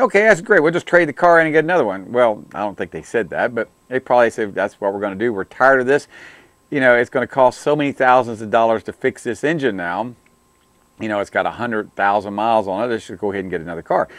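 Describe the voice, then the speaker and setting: A man's very fast, lively intonation in a dry sound with no echo against a quiet background. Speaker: auto technician show host. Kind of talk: commentary. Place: studio. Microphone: lapel.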